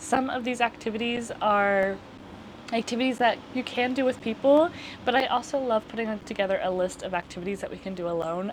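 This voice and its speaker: A high-pitched woman mumbling at a fairly quick pace. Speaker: lifestyle youtuber. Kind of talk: casual chat. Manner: mumbly.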